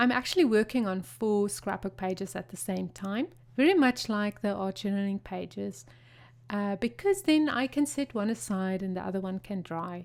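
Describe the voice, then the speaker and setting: In a very clean recording with a silent background, a woman with a South African accent speaks at a moderate pace and medium pitch, her intonation lively. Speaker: craft video creator. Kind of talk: tutorial. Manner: animated.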